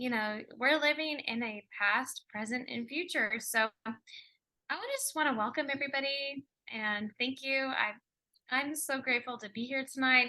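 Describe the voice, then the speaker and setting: Projecting a raised voice, a woman speaks at a moderate pace with a high pitch, a bright, sharp tone and ordinary pitch variation. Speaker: energy healer. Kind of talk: casual chat.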